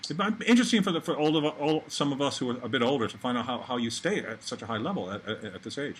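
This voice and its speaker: Talking at a very fast pace, a man with a fairly high pitch swings his pitch very widely. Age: 60s. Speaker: race director and former pro cyclist. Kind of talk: casual chat. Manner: animated.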